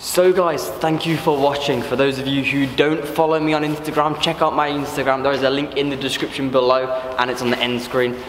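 A man speaks at a fairly quick pace with hardly any pauses and monotone, flat intonation, with audible room echo and light background noise. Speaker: urban explorer vlogger. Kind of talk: casual vlog chat. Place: factory. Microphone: phone near.

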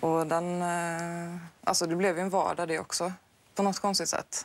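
Speaking at a fairly quick pace, a woman keeps a monotone, flat intonation in a fairly low pitch. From Sweden. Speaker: heart transplant patient guest. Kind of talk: TV interview. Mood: reflective, personal story. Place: studio. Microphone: lapel.

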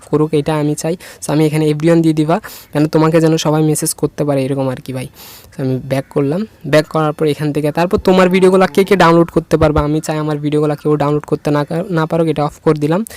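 A fairly high-pitched man, monotone and flat, in a dry, close sound with no echo. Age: 20s. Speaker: tech tutorial creator. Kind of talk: screen-recorded tutorial.

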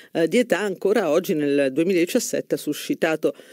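Against a quiet background, a man talks at a fairly slow pace with a dark, mellow tone. His intonation is lively, and the sound is dry with no echo. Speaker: radio host or commentator. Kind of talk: radio commentary. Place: studio.

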